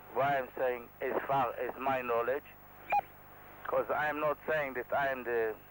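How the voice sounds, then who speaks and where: A man with an Israeli accent speaks very slowly at a medium pitch, monotone and flat, with very even loudness and long, frequent pauses, over noticeable background noise. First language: Hebrew. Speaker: helicopter pilot. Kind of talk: tutorial. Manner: halting.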